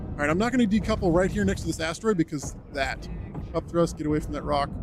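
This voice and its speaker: With music in the background, a man talks at a very fast pace with a fairly high pitch and very wide pitch swings. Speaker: streamer and Army helicopter instructor pilot. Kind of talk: live gameplay stream chat.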